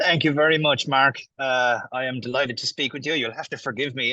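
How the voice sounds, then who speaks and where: A man speaks in a bright, sharp tone with fairly even intonation. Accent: Irish. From Ireland, small town. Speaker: affiliate marketer. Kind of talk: interview. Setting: video call from a cafe.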